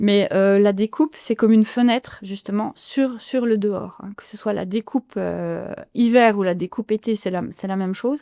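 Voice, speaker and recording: With hardly any pauses, a woman in a slight Franche-Comté accent speaks at a moderate pace and medium pitch, her dark, mellow tone and fairly even intonation paired with big swings in loudness in a dry, close sound with no echo. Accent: slight Franc-Comtois. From France, Franche-Comté (Haut-Doubs). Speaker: illustrator and author. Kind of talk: podcast interview. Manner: hesitant, many fillers and repetitions.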